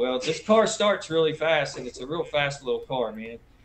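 Noticeable background noise sits under this man's voice. He talks at a fairly quick pace with a fairly high pitch and ordinary pitch variation. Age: 50s. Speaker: off-road race team owner and driver. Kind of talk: casual chat.

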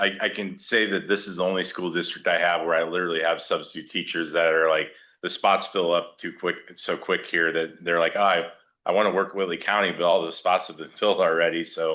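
A man's very deep, low voice, loud and bright with a sharp edge, flat and monotone at a fairly quick pace over a quiet background. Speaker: staffing agency district manager. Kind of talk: presentation to school board. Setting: board meeting with microphone. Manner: loud, voice carries.

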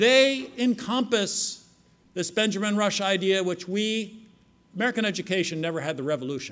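A high-pitched man with lively intonation. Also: moderate pace. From United States. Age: old. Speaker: conference keynote speaker. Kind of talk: lecture. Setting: stage with audience. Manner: formal. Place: hall. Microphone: podium.

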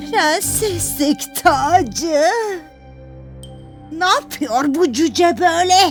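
Over clear background music, a female-sounding voice does a cartoonish character voice at a high pitch and a very slow pace. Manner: haughty, commanding.

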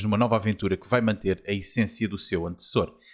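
A man with a Lisbon accent talks at a very fast pace on a very clean recording with a silent background. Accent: Lisbon area Portuguese. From Portugal, Almada. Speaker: video game podcast host. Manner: halting, hesitant with filler words.

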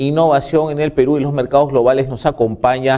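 Against a quiet background, a man speaks in a fairly high pitch with a dark, mellow tone. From Peru. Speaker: TV host. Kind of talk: TV interview. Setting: studio. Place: studio.

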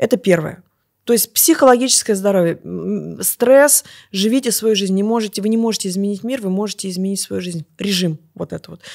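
At a fairly quick pace, a woman speaks with ordinary pitch variation and big swings in loudness, in a dry, close sound with no echo. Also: medium pitch for a woman. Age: 40s. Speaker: natural rejuvenation coach. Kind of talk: interview. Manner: animated.

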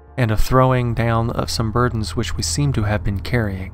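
Music plays in the background as a man talks at a fairly quick pace. The sound is dry, with no echo. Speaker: story narrator. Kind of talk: dramatic story narration.

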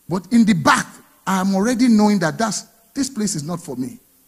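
The background is quiet as a man speaks at a high pitch. He keeps a moderate pace. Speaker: pastor. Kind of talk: sermon. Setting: church. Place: church. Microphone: handheld.

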